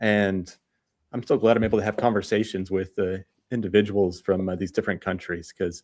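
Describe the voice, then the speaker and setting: A man's fairly low voice with an American accent, at a fairly quick pace, on a very clean recording with a silent background. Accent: American, kept after seven years in Australia. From United States. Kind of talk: radio interview.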